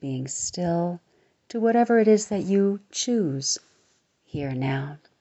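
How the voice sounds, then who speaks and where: Intonation is lively as a woman speaks at a very slow pace. Her pitch sits fairly low. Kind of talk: guided meditation. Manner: soft-spoken, reassuring.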